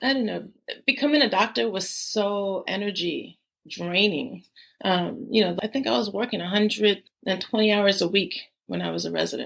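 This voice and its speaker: A woman with an American accent, medium pitch, vocal fry and lively intonation, at a moderate pace. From New York, South Bronx. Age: 60s. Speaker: physician. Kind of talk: podcast interview.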